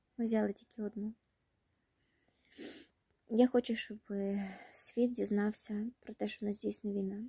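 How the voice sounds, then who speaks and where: Over a quiet background, a woman talks at a fairly slow pace and a fairly high pitch. Her voice is somewhat breathy and dark, mellow in tone, with monotone, flat intonation. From Kherson region, Ukraine. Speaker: war refugee. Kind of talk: personal appeal to camera. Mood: sad, tired, emotional. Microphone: phone near.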